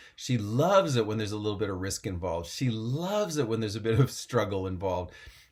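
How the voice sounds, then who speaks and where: A man's fairly low voice at a very fast pace, animated in tone, with ordinary pitch variation. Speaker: mental performance coach for equestrian athletes. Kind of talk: motivational coaching talk.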